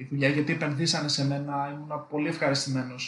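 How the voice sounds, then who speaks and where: Somewhat breathy, the man's voice sits at a fairly high pitch. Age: 20s. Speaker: electrical engineer. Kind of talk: casual interview chat.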